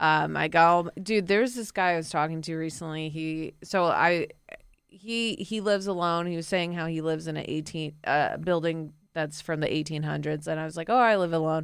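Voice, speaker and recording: Speaking at a fairly quick pace with an American accent, a woman has an unremarkable speaking voice and a fairly low pitch. Her pitch varies in an ordinary way, and the recording is very clean with a silent background. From Florida, US. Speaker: comedian. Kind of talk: casual chat. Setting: studio.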